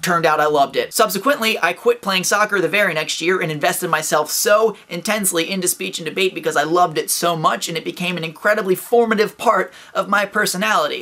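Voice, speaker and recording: A man's raised, projected voice, high-pitched and upbeat in tone, at a fairly quick pace. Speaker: vlogger. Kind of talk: casual talk to camera, motivational advice. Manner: upbeat, fast.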